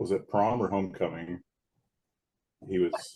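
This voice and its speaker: This man has a very deep, low voice. He talks at a moderate pace with fairly even intonation. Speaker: podcast guest, host's first boyfriend. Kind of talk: casual chat. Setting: video call.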